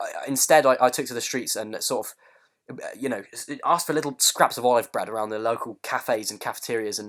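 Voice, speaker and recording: A man with a British accent, hardly any pauses and big swings in loudness. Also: fairly quick pace. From UK. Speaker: comedy podcast host. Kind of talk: comedic podcast banter. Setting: online call. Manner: halting, many fillers and repetitions.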